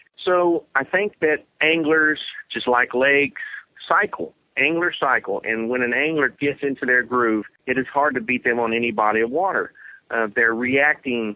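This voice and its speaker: A man's normal speaking voice at medium pitch, moderate pace, ordinary pitch variation and very even loudness. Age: 40s. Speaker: professional bass angler. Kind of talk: interview.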